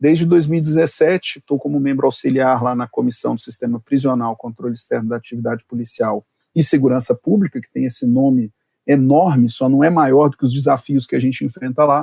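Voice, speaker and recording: At a fairly quick pace, a man with a medium-pitched, dark, mellow voice speaks with ordinary pitch variation in a dry, close sound with no echo. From Brazil, Brasília. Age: 40s. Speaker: prosecutor and law professor. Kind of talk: podcast interview. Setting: remote recording.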